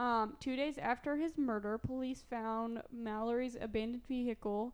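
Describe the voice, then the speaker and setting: Speaking in a southern Illinois accent, a woman uses a fairly high pitch with ordinary pitch variation at a fairly slow pace. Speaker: podcast co-host telling a true crime story. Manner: casual storyteller, frequent "like" fillers.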